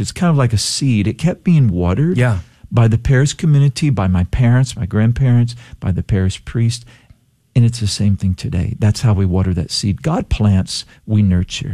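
Over a quiet background, a man talks at a moderate pace and medium pitch, somewhat breathy, with a dark, mellow tone and lively intonation. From Texas Gulf Coast (Palacios). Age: 60s. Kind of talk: radio interview. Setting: radio studio.

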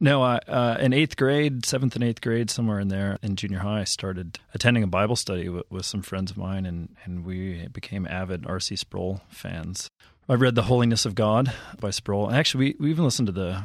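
With an American accent, a man of fairly low pitch talks at a moderate pace with ordinary pitch variation and hardly any pauses, in a very clean recording with a silent background. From Minneapolis, Minnesota. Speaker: theology professor. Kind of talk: interview. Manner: halting.

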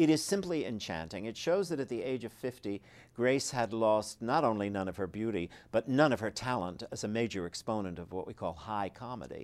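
A man speaks in a normal speaking voice at a moderate pace, his medium pitch carried by lively intonation. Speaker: author and biographer. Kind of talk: interview about his book.

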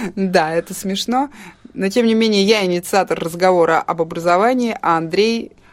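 A woman speaks at a moderate pace in a normal speaking voice, medium in pitch with ordinary pitch variation. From Russia. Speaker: podcast co-host. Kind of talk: casual chat.

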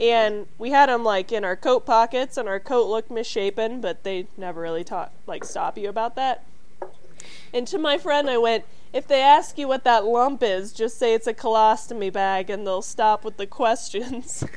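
Here is an ordinary speaking voice. It moves at a moderate pace. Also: woman, fairly high pitch for a woman, ordinary pitch variation. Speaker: podcast co-host. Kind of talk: casual comedic chat. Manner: jokey, playful.

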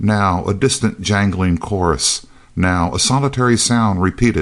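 Reading aloud in a natural voice. The pitch varies in an ordinary way.

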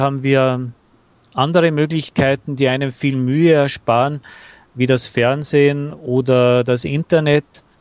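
Very slow, very evenly loud male speech with a dry, close sound and no echo. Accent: Austrian. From Austria, Bavarian-Austrian dialect area. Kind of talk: casual interview conversation. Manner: hesitant with fillers.

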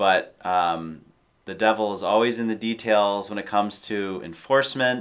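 A man with an unremarkable speaking voice, fairly low pitch and ordinary pitch variation, at a moderate pace. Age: 30s. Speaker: podcast co-host. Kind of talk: casual interview.

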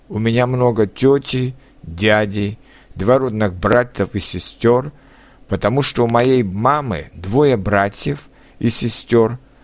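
With a Czech accent, a man speaks very slowly at medium pitch with ordinary pitch variation, on a very clean recording with a silent background. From Czech Republic. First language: Czech (speaking Russian). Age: 30s. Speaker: language learner. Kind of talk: reading aloud.

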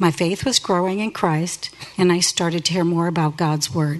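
With an American accent, a woman speaks at a moderate pace in a fairly low pitch with ordinary pitch variation and an unremarkable speaking voice. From Northeast Ohio, US. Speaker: church member sharing testimony. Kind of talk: testimony. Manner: read from script.

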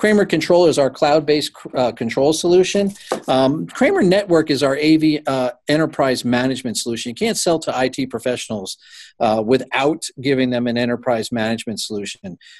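A man speaks at a medium pitch and a fairly quick pace, using an unremarkable speaking voice. His intonation is lively, and the background is quiet. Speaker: company CEO. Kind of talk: business interview.

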